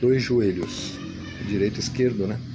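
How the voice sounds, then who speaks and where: With music in the background, the man keeps his intonation fairly even. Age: 60s. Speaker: bariatric surgery patient. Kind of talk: testimony.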